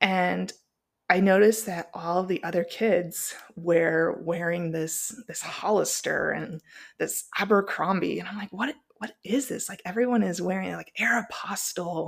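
A woman speaks at a fairly slow pace with vocal fry, ordinary pitch variation and big swings in loudness. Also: medium pitch for a woman. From Phoenix, Arizona and Springfield, Missouri. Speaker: podcast host. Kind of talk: personal monologue.

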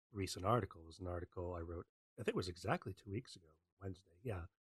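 A man with a Canadian accent, very deep and low in pitch, somewhat breathy, with a dry, close sound and no echo. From Western Canada. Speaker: open source researcher. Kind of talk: online talk.

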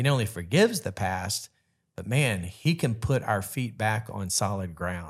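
Over a very clean recording with a silent background, a man speaks at a moderate pace in a fairly low, somewhat breathy voice with lively intonation. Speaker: pastor and marriage podcast co-host. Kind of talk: casual chat.

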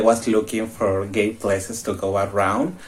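A man speaks in a Mexican accent. His pace is fairly slow. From Mexico. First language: Spanish. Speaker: exchange student. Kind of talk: casual chat.

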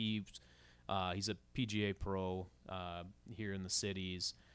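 Fairly even intonation comes through with an Upper Midwest accent on a very clean recording with a silent background. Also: man. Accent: Upper Midwest (Minnesota). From Minnesota, Rogers. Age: 40s. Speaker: podcast co-host. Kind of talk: casual chat.

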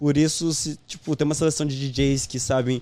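The man's tone is dark and mellow. His intonation stays fairly even. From Portugal and Spain, born in Brazil. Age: 20s. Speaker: funk event promoter. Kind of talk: casual interview chat.

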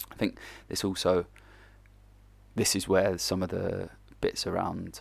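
A man talks at a fairly slow pace. He has an English accent. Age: 30s. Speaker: football coach. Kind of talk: casual monologue. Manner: casual.

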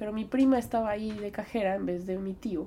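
A woman with a normal speaking voice and ordinary pitch variation. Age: 20s. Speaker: podcast host. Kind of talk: personal reflection monologue.

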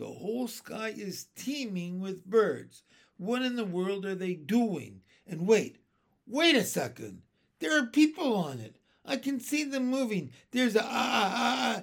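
Shouting in a put-on character voice, a man uses a high pitch with big swings and vocal fry at a fairly slow pace.

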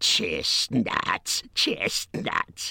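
A man's hissing, put-on character voice at a medium pitch

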